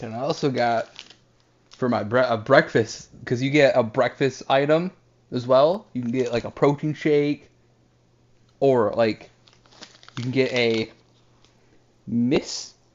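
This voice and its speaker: A man speaking at a very slow pace with a fairly high pitch. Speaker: food review vlogger. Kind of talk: casual food review vlog. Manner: casual, interrupted by eating.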